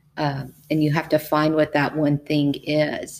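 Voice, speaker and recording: A woman with a very deep, low pitch and a Texan accent. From Texas, Brazos Valley. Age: 50s. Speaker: educator and powerlifter. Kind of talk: interview.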